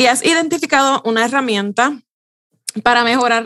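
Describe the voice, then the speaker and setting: A woman talks in an ordinary speaking voice at a moderate pace with ordinary pitch variation. The sound is dry and close with no echo. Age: 40s. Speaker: communication strategist and podcast host. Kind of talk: interview.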